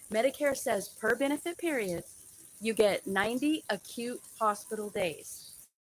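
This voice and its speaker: Over music in the background, a woman with an American accent speaks at a fairly slow pace with a fairly high pitch and lively intonation. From United States. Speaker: registered nurse. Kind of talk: educational live stream talk to camera. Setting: live stream over poor connection. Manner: casual, conversational.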